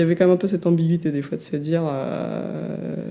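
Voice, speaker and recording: A soft-spoken woman at a fairly quick pace, with noticeable background noise. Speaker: former online gamer. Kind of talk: interview answer.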